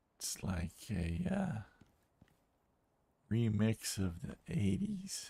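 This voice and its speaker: Soft-spoken and somewhat breathy, a man with a dark, mellow tone and fairly low pitch talks at a very slow pace, with very wide pitch swings and long, frequent pauses. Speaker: gaming streamer. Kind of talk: let's play commentary. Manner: quiet, low.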